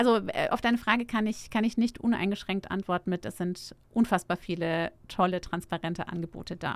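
A woman with a plain, everyday voice, medium in pitch, with ordinary pitch variation and a fairly quick pace. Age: 40s. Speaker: startup founder. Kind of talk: interview. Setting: studio.

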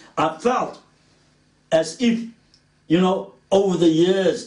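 The speech moves at a very slow pace with ordinary pitch variation and audible room echo. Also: man. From South Africa, Cape Town (Woodstock). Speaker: preacher. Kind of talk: sermon.

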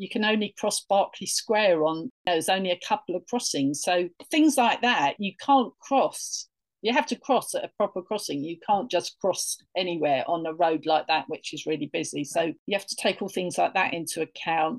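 A woman with a London accent talks at medium pitch and a moderate pace with lively intonation. The sound is dry and close with no echo, over a quiet background. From northeast London, England. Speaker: tour guide. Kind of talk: interview.

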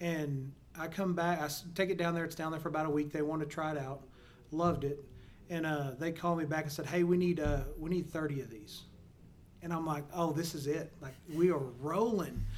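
Audible room echo surrounds a man with a fairly high pitch. He talks at a fairly quick pace with fairly even intonation. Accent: Texan. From Texas, small town near Mineral Wells. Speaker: oilfield service entrepreneur and podcast host. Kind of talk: casual interview. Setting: in-person studio recording.

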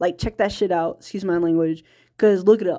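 The recording of this woman at medium pitch is very clean, with a silent background. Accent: American. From US South, small-town Virginia. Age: 30s. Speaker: indie filmmaker and podcaster. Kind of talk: personal monologue podcast. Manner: halting, many fillers and restarts; frequent laughter.

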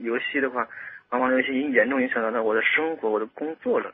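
Very fast talking from a man, intonation kept fairly even. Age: 20s. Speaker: salesperson sharing experience of game addiction. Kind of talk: radio interview.

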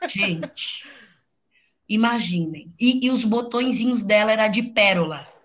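Somewhat breathy and fairly high-pitched, a woman speaks at a fairly slow pace with long, frequent pauses, and room echo can be heard. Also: ordinary pitch variation. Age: 20s. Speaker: fashion entrepreneur. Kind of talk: casual chat.

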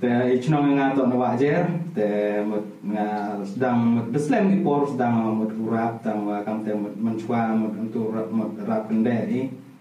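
The room has an audible echo, and the speech comes at a very slow pace. Music plays in the background. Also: man, medium pitch for a man, ordinary pitch variation. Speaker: rapper. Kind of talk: casual chat. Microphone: camera audio, poor sound quality.

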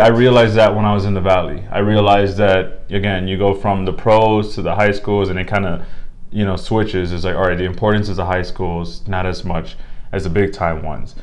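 A man talks at a fairly quick pace and fairly low pitch with an American accent. His is an unremarkable speaking voice with ordinary pitch variation. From Miami, Florida. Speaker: sports anchor. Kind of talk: casual interview chat.

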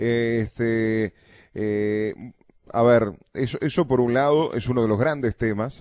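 Speaking at a very slow pace in a Uruguayan accent, a man keeps a medium pitch and fairly even intonation. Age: 30s. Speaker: radio host. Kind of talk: radio interview. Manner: halting.

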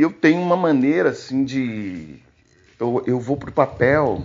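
With ordinary pitch variation, a man's voice sits fairly high. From Brazil, Tocantins (Gurupi). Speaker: singer-songwriter. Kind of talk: testimony. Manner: halting.

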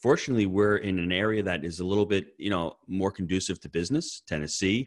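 An unremarkable speaking voice moves at a fairly quick pace in a very clean recording with a silent background. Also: man. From US Northeast. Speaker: real estate investor and coach. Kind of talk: podcast interview.

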